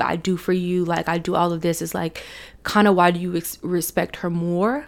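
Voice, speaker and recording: Her pitch is fairly low, and the woman speaks at a moderate pace. The recording is very clean with a silent background. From US South, Chattanooga, Tennessee. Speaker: podcast host. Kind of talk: casual personal storytelling monologue.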